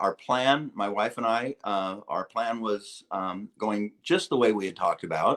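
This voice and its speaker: Recorded very cleanly over a silent background, dry and close with no echo, a man with a plain, everyday voice of medium pitch speaks at a fairly slow pace with ordinary pitch variation. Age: 60s. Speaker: retired marketing executive. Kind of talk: interview answer.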